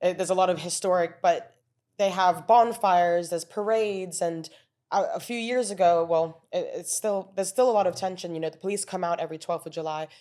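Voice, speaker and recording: A woman speaks at a fairly quick pace with a dark, mellow tone and fairly even intonation, her loudness swinging widely. The recording is very clean, with a silent background. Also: medium pitch for a woman. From moved around internationally; teens in Belfast, Northern Ireland. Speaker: illustrator and artist. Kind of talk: podcast interview. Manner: halting, with frequent self-corrections.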